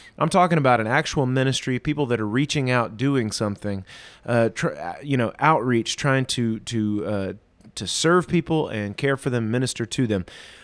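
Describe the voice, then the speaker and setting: An ordinary speaking voice from a man at medium pitch, moderate pace and ordinary pitch variation. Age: 30s. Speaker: pastor. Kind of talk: casual chat. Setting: video call.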